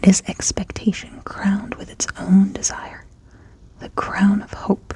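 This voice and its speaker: A woman whispers at a fairly slow pace. Her loudness rises and falls sharply, and background noise is noticeable. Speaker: ASMR tarot reader. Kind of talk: reading aloud from a tarot guidebook. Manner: soft-spoken.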